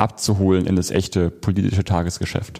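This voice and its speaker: Speaking at a fairly quick pace, a man with a very deep, low pitch and a dark, mellow tone comes through on a very clean recording with a silent background. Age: 20s. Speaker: young politician and university student. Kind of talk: interview.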